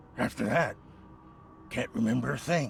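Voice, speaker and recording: A man's put-on character voice, raspy and medium in pitch, at a moderate pace against clear background noise. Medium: video game. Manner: nervous, stammering.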